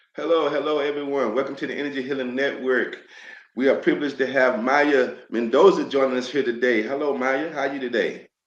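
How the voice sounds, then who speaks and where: Here a man with an American accent speaks at a very fast pace and a fairly high pitch. Room echo is audible. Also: fairly even intonation. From United States. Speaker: podcast host. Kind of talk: interview.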